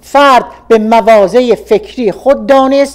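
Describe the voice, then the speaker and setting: High-pitched female speech with ordinary pitch variation over noticeable background noise. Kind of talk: radio reading of a political opinion article.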